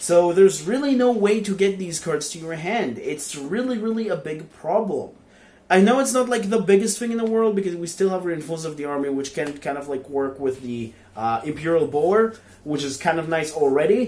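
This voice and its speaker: Using a high pitch and lively intonation, a man with a non-native accent talks at a fairly quick pace. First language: not English. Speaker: card game YouTuber. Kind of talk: game card review. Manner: hesitant, many fillers.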